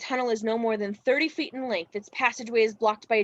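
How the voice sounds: Fairly even intonation in a natural reading voice.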